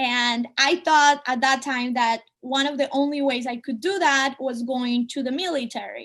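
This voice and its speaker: Over a quiet background, a woman with a Spanish accent speaks slowly, at a fairly slow pace and a high pitch. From Colombia (Medellin). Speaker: artist and speaker. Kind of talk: talk to students (webinar). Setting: video call webinar.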